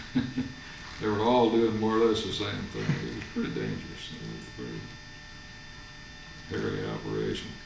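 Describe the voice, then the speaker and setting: A man speaks at a moderate pace with big swings in loudness, and noticeable background noise is present. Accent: American. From Iowa. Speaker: retired geophysical engineer. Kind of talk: interview answer.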